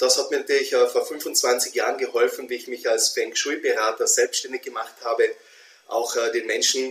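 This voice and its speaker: Speaking at a moderate pace, a man talks with an Austrian accent. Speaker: feng shui consultant. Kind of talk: interview conversation.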